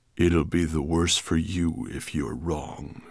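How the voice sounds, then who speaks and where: A man's put-on character voice, very deep and low in pitch, at a fairly slow pace. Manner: threatening.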